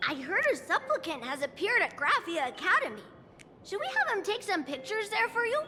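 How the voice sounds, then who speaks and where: Someone puts on a character voice with an extremely high pitch and very wide pitch swings, talking at a fairly quick pace over clear background noise. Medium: video game. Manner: fawning, eager.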